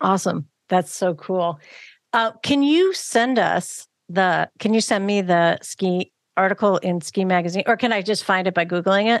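A woman's plain, everyday voice, medium in pitch, at a moderate pace with ordinary pitch variation, over a quiet background. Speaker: podcast host. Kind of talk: casual interview chat. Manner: warm, encouraging, frequent backchannels.

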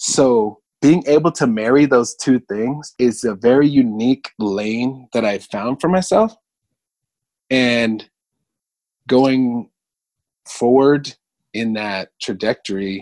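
Long, frequent pauses break up a man's very slow speech. His pitch is medium, and the sound is dry and close with no echo. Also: ordinary pitch variation. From Southern California (Venice Beach), early childhood in Hawaii. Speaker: roller skate instructor and therapist. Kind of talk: casual interview.

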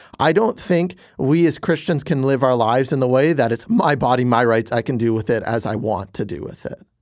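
A man speaks in an unremarkable speaking voice at a medium pitch. His pace is fairly quick, with ordinary pitch variation. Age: 20s. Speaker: youth pastor. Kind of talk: casual chat.

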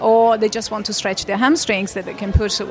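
Noticeable background noise runs under this woman's voice. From Italy. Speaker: Pilates and fitness trainer. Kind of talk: casual interview. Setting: conference venue with background noise.

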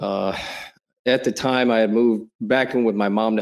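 The speaker is a man with a fairly low pitch. His intonation stays monotone and flat. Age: 40s. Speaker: musician and crypto community member. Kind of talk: casual chat. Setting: online audio room.

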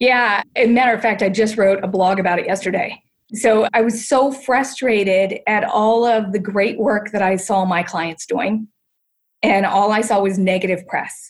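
An ordinary speaking voice comes from a woman with an American accent, pitched fairly high, at a moderate pace with ordinary pitch variation. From US Midwest, Ohio. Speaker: senior living designer and entrepreneur. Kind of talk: casual interview.

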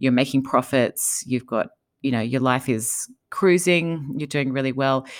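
In a very clean recording with a silent background, a woman with an Australian accent speaks at a fairly slow pace in a very deep, low pitch with ordinary pitch variation. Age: 40s. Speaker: entrepreneur and author. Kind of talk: interview conversation.

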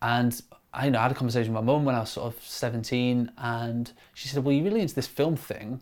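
A medium-pitched man with a Lincolnshire accent, very fast and fairly even in intonation. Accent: northern English (Lincolnshire). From Grimsby, east coast of England. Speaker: camera operator and video director. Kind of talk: casual interview.

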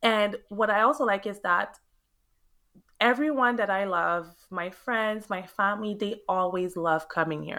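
A woman with a Quebec accent speaks fairly slowly at a medium pitch with ordinary pitch variation. Her tone is bright and sharp, and the recording is very clean with a silent background. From Montreal, Quebec, Canada (Haitian parents). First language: French. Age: 30s. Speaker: realtor. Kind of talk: interview. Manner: animated, exuberant.

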